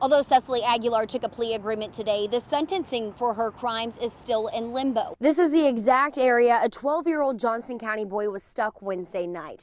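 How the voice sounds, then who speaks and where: A woman's fairly high, normal speaking voice with an American accent, ordinary pitch variation and a fairly quick pace with hardly any pauses. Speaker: TV news reporter and anchor. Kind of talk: live shots and standups, news reporter delivery. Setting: outdoors on location.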